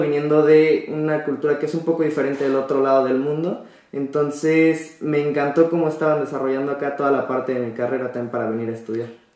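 Noticeable background noise and audible room echo fill this recording. A man with a Mexican accent speaks at a fairly high pitch with fairly even intonation. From Mexico. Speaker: exchange student. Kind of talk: interview.

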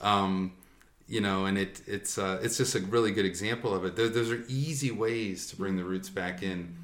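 The man has a fairly low pitch and ordinary pitch variation at a moderate pace. He has an unremarkable speaking voice. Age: student. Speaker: doctoral researcher in education. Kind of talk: casual interview. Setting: in person.

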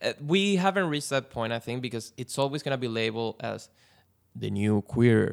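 Using an unremarkable speaking voice, a man talks at a fairly quick pace and medium pitch with lively intonation. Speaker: podcast guest, film fan. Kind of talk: casual chat.

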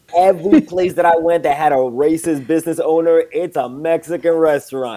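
Over music in the background, a man with an American accent talks at a fairly high pitch. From New York City. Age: 30s. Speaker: comedian. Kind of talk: casual chat. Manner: animated.

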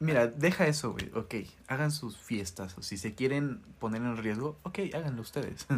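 A man with a Mexican accent speaks with lively intonation. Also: medium pitch for a man, moderate pace. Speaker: podcast co-host. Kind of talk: casual chat. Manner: quieter near the end.

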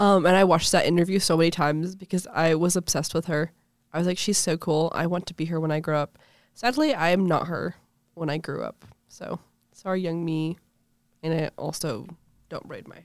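A woman with a fairly low pitch and an animated tone, at a fairly quick pace with big swings in loudness, in a very clean recording with a silent background. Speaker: podcast host. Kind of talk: casual chat. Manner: joking, animated.

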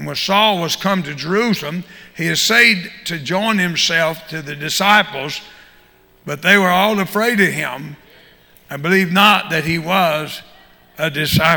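Speaking fairly slowly with a Southern US accent, a man has a high pitch and ordinary pitch variation. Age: 70s. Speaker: visiting preacher and prison minister. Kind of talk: sermon. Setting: church.

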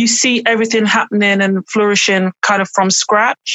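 A woman in an East Midlands accent speaks at a moderate pace in a fairly high pitch with ordinary pitch variation. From English Midlands, Burton upon Trent. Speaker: author and writing mentor. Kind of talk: casual interview. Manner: hesitant, many fillers.

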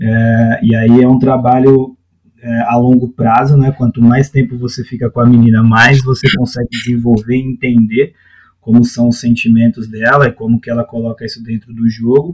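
A man speaks at a moderate pace with a medium pitch and a flat, monotone delivery. The sound is dry and close, with no echo. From Brazil, São Paulo periphery. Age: 30s. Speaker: youth football coach. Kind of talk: podcast interview. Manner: hesitant, many fillers.

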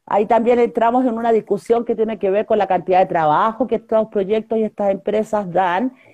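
Against a quiet background, a woman with a fairly high pitch and a dark, mellow tone speaks at a fairly quick pace with hardly any pauses, very even loudness and fairly even intonation. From northern Chile (Huasco Valley, Vallenar). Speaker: environmental activist and candidate. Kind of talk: interview.

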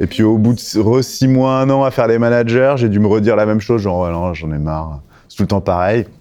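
A man talks at a fairly quick pace with a fairly low pitch and ordinary pitch variation. Noticeable background noise runs behind him. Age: 40s. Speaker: recruitment and employer branding specialist. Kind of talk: interview.

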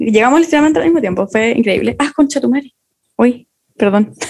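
A woman with a Chilean accent speaks at a fairly high pitch, with lively intonation and an animated tone. Her loudness stays very even, and she takes long, frequent pauses. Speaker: podcast co-host. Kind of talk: casual chat.

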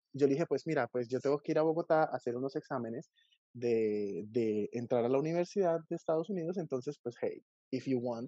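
Speaking at a fairly quick pace with a Colombian accent, a man uses a medium pitch with ordinary pitch variation. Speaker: YouTube book reviewer. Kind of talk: casual chat.

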